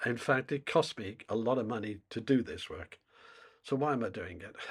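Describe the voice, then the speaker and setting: Speaking with a British accent at a moderate pace, the voice shows ordinary pitch variation and is somewhat breathy. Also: man, medium pitch for a man, big swings in loudness, very clean recording, silent background. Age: 70s. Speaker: climate commentator. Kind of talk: monologue to camera. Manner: halting.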